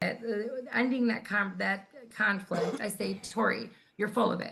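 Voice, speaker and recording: With long, frequent pauses, a woman speaks at a medium pitch in a monotone, flat intonation. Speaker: grassroots activist. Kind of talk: casual chat. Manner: loud.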